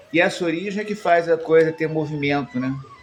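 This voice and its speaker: A man is heard with noticeable background noise. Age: 60s. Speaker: spiritual teacher and musician. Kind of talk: improvised reflective monologue. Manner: hesitant, frequent fillers.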